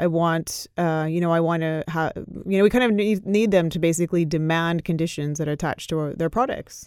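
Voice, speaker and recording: A woman with a Canadian accent speaks in a plain, everyday voice at a fairly quick pace. Her pitch is fairly low, with ordinary variation. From Canada. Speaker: corporate accountability lawyer. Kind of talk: casual chat.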